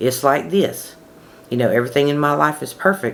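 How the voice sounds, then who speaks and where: A woman's voice, very deep and low in pitch. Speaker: manifestation coach. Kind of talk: casual talk to camera. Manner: conversational.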